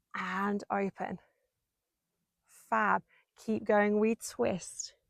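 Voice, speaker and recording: A woman speaks at a medium pitch with ordinary pitch variation and a very slow pace. The sound is dry and close, with no echo. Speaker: Pilates instructor. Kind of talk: workout instruction. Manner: slow, controlled pace; encouraging, rhythmic counting.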